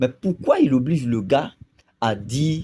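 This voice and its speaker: A man speaks with a Burkinabe accent in a dark, mellow tone that is somewhat breathy. His intonation is lively and his pace fairly slow. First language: Lobi (speaking French). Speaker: video commentator. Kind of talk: video commentary monologue. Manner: hesitant, many fillers.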